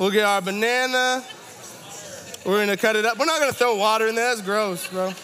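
A man's raised, projected voice, high-pitched and animated, with ordinary pitch variation, a fairly quick pace, long and frequent pauses, very even loudness, audible room echo and noticeable background noise. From Toronto, Canada. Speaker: campus ministry associate director. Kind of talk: sermon.

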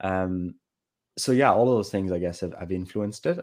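A man speaks with a very deep, low pitch and fairly even intonation. The recording is very clean, with a silent background. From Ireland, Kerry. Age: 20s. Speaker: personal trainer and medical student. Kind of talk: casual interview conversation.

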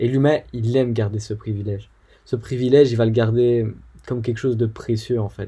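On a very clean recording with a silent background, a man speaks at a moderate pace in a medium pitch, his dark, mellow tone somewhat breathy and his intonation monotone and flat. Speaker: podcast host. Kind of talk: solo educational talk. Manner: hesitant with fillers.

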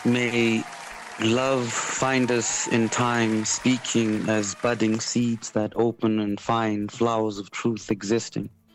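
Very slow, monotone speech from a man at medium pitch, crowd noise in the background. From South Africa. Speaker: spoken word poet and artist. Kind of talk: radio interview. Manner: articulate, thoughtful.

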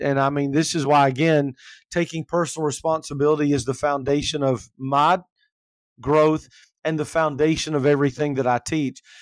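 In a very clean recording with a silent background, a man speaks in an ordinary speaking voice with an American accent. His pitch is fairly high and his intonation fairly even. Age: 50s. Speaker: life coach and minister. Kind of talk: casual chat.

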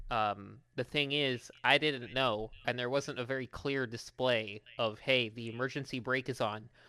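Very clean recording with a silent background, a fairly slow pace and hardly any pauses. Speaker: podcast co-host. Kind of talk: casual chat.

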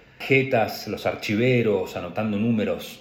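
A man talks with audible echo from the room around him. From Argentina, Patagonia (Trelew, Chubut). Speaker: graduate student. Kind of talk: personal narrative for a class assignment.

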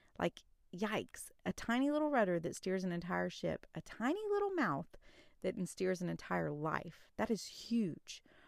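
A woman's voice at a moderate pace and very even loudness, on a very clean recording with a silent background. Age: 30s. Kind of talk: faith-based solo podcast talk. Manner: casual, chatty with fillers.

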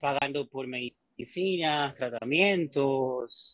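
A man with an ordinary speaking voice, fairly high in pitch with ordinary pitch variation, talks at a fairly slow pace in a dry, close sound with no echo. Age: 30s. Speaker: fitness coach. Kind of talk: interview.

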